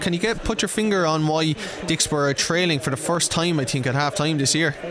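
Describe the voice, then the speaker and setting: Over noticeable background noise, a man with a fairly high pitch speaks at a very fast pace with ordinary pitch variation. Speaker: studio presenter. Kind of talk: radio presenting.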